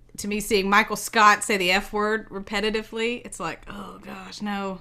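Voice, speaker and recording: Bright and sharp in tone, a woman speaks at a moderate pace and medium pitch with monotone, flat intonation and big swings in loudness. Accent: strong Southern. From US South, Savannah Georgia. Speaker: podcast co-host, homeschooling parent. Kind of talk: casual chat.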